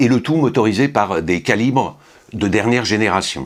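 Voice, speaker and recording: With lively intonation, a man with a fairly low pitch speaks at a moderate pace. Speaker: watch reviewer. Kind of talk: product review. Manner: hesitant with fillers.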